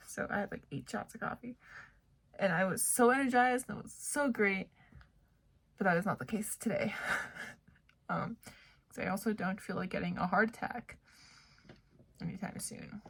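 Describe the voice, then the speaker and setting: A woman's vocal fry at a moderate pace, with long, frequent pauses and big swings in loudness. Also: medium pitch for a woman, ordinary pitch variation. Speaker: vlogger, grad student. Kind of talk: casual vlog talk to camera.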